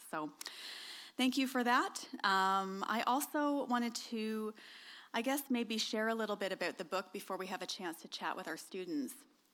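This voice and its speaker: In a Canadian accent, a woman with a fairly high pitch and bright, sharp tone speaks with lively intonation in a very clean recording over a silent background. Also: moderate pace. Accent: noticeable accent, Canadian. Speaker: author. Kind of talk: talk to an audience. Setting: stage with audience. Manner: many filler ums.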